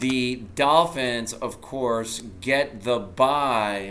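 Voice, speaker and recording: Recorded with audible room echo, a man speaks with ordinary pitch variation. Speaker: sports vlogger. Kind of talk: solo sports recap. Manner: casual, conversational.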